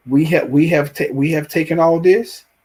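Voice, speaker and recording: Talking at a moderate pace, a man with a Southern US accent has a fairly high pitch. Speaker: TV show reviewer, YouTuber. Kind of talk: live stream show review with chat. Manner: halting, many repeats and fillers.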